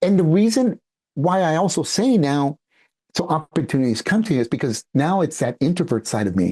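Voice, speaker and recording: A man with a Spanish accent talks at a moderate pace in a fairly high pitch, with lively intonation and a dark, mellow tone. The sound is dry and close with no echo, over a quiet background. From San Francisco Bay Area, California. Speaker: international speaker and entrepreneur. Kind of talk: podcast interview.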